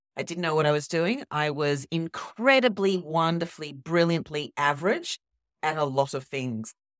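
With an Australian accent, a woman speaks at a moderate pace with lively intonation and a very deep, low pitch, in a very clean recording with a silent background and a dry, close sound with no echo. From Sydney. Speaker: copywriting founder and guest mentor. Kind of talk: casual interview chat.

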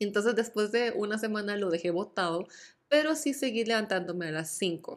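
An unremarkable speaking voice from a woman, medium in pitch, at a moderate pace with lively intonation. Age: 20s. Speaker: podcast host. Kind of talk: casual solo chat. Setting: at home.

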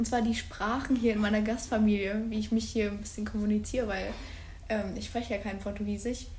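A woman talks fairly quickly in a fairly high voice, with audible room echo and noticeable background noise. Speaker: podcast co-host, exchange student. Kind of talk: casual chat. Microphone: far from recorder at end.

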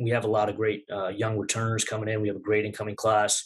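Against a quiet background, a somewhat breathy voice speaks with an American accent. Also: man. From Long Island, New York (Nassau County). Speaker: college wrestling head coach. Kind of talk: interview.

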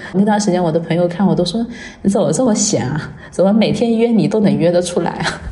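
A woman at a medium pitch talks at a very fast pace. There is audible room echo and noticeable background noise. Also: ordinary pitch variation. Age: 30s. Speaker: makeup artist. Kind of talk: personal testimony.

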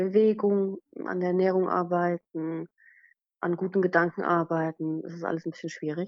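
Her voice is fairly low for a woman. She talks at a moderate pace. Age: 30s. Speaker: blogger with chronic illness. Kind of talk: casual interview. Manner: halting, many fillers.

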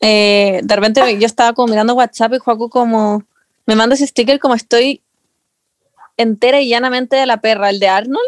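With a Chilean accent, a woman speaks at a fairly quick pace in a fairly high pitch, keeping her intonation fairly even and her loudness very even. The sound is dry and close, with no echo. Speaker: podcast co-host. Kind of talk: casual chat.

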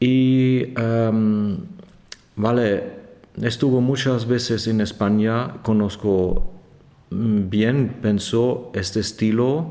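A man speaks with a German accent at a very slow pace. His tone is dark and mellow, with audible room echo. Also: medium pitch for a man, ordinary pitch variation, very even loudness. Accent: German accent, non-native Spanish. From Germany. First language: German (speaking Spanish). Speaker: organist and organ professor. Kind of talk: interview. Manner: halting with many hesitations.

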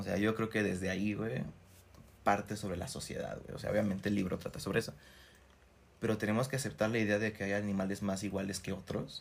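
A man with a Mexican accent, fairly low-pitched and fairly quick. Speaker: podcast co-host. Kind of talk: casual chat. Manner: animated.

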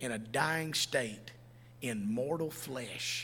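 With a Southern US accent, a man talks very slowly at medium pitch with ordinary pitch variation and audible room echo. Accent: US South. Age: 50s. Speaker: pastor. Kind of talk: sermon. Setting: church.

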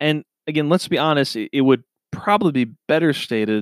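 Here is a man with a normal speaking voice and an American accent, talking at a moderate pace with ordinary pitch variation. The recording is very clean with a silent background and a dry, close sound with no echo. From Minnesota. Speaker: podcast host. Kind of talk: solo podcast monologue.

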